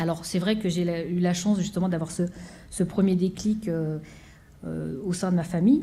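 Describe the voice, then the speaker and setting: A woman's fairly low, somewhat breathy voice with a dark, mellow tone, fairly even intonation and long, frequent pauses, in audible room echo. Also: moderate pace. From France, Seine-Saint-Denis (Pantin). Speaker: orchestra conductor. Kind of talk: conference talk. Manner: halting, many fillers.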